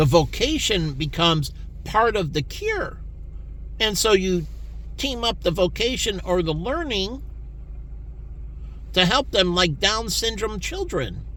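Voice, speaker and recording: A man talks at a fairly slow pace with long, frequent pauses. Audible room echo surrounds his voice. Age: 50s. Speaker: vlogger. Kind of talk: personal monologue.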